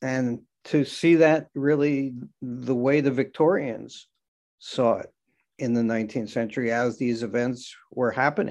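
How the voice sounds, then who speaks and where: A man with an American accent and a normal speaking voice, at a medium pitch and fairly slow pace, with ordinary pitch variation, over a quiet background. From New York area, Long Island. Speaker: cemetery historian. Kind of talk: interview.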